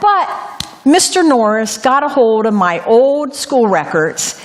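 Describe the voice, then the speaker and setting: A woman speaks at a high pitch with very wide pitch swings, and the room echo is audible. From Ohio, US Midwest. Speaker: lay preacher. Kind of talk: sermon with personal testimony. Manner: occasional stumbles and repetitions.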